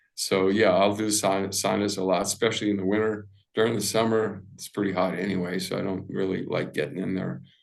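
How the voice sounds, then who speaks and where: With audible room echo, a man at a fairly low pitch talks with hardly any pauses and fairly even intonation. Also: fairly quick pace. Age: 70s. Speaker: integrative medicine doctor. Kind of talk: interview. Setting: podcast interview. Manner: casual, with many fillers.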